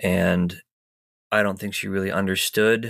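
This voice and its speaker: Over a silent background in a very clean recording, a man talks fairly slowly. His pitch varies in an ordinary way. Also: dry, close sound with no echo. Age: 30s. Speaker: caregiver partner. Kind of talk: personal testimony.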